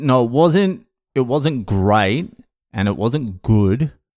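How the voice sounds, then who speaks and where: A very slow man's voice in an Australian accent, with very wide pitch swings, on a very clean recording over a silent background. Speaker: comedian, sobriety podcast host. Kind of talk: casual podcast monologue. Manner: profane, candid, conversational.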